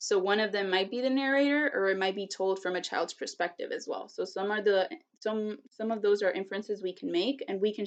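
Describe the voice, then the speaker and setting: A woman with a Spanish accent speaks at a fairly quick pace, with hardly any pauses. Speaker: teacher doing a read aloud. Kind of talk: tutorial on read-aloud strategies. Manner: casual with frequent fillers.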